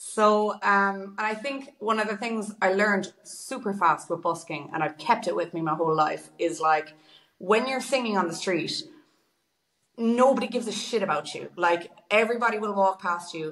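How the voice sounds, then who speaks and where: In a western Irish accent, a woman talks at a moderate pace with a medium pitch and ordinary pitch variation. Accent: Irish (west of Ireland). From Ireland, Galway. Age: 20s. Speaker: singer and busker. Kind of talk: casual interview chat.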